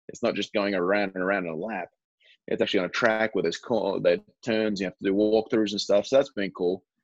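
In an Australian accent, a man with a fairly low pitch speaks at a very fast pace with fairly even intonation, the sound dry and close with no echo. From Australia (Perth). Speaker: professional baseball player. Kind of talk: casual interview chat.

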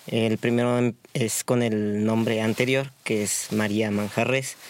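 Fairly slow and monotone, a man speaks with flat intonation. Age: 30s. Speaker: street vendor. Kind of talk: interview.

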